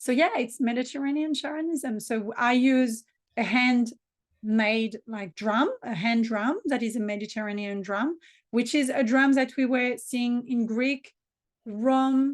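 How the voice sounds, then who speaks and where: A high-pitched woman with a strong French accent, at a fairly slow pace with ordinary pitch variation, over a quiet background. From southern France. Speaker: business coach and spiritual practitioner. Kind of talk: interview.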